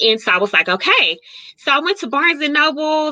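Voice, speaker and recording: A woman with a plain, everyday voice, lively intonation, and a fairly quick pace. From Kansas City, Kansas, US Midwest. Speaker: author. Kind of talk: interview.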